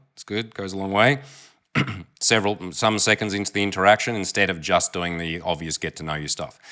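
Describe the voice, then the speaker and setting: A bright, sharp tone in an Australian accent, at a fairly quick pace with ordinary pitch variation, in a very clean recording with a silent background. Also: man, big swings in loudness. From Australia, Melbourne. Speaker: dating coach. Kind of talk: commentary on recorded pickup interaction. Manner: casual.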